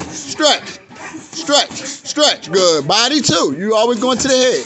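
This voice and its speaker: Against noticeable background noise, a man speaks at a very slow pace. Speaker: boxing coach. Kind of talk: shouted coaching instructions. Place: gym. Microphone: phone near.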